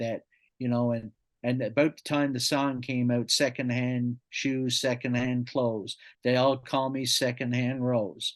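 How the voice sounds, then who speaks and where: The speaker talks at a fairly slow pace with a Newfoundland accent. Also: man. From Newfoundland, Canada (St. John's). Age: 60s. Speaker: podcast guest, storyteller. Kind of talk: casual interview, life story.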